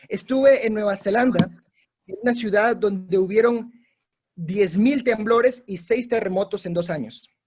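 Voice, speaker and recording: A man with a Latin American accent speaks in a high voice at a moderate pace. His pitch rises and falls in an ordinary way. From Peru. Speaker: missionary preacher. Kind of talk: sermon. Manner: exhortative, animated.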